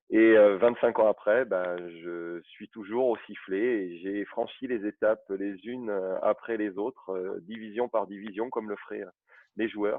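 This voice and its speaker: This man has an ordinary speaking voice, fairly low in pitch, moving at a fairly slow pace with fairly even intonation but big swings in loudness. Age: 40s. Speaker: football referee. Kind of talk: interview.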